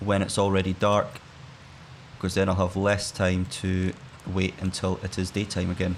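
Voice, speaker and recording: A man with a Scottish accent and a very deep, low pitch talks in a flat monotone at a moderate pace, with long, frequent pauses. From Scotland. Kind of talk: gaming let's play commentary. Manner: relaxed, laid-back.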